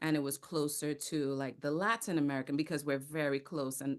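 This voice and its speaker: Against a quiet background, a woman with a Caribbean accent speaks at a moderate pace in a very deep, low pitch. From Trinidad and Tobago. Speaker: actor, theater company founder and speaking coach. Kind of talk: podcast interview.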